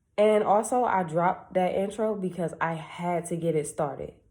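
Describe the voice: A woman speaks with a slightly mellow tone. Her pitch varies in an ordinary way.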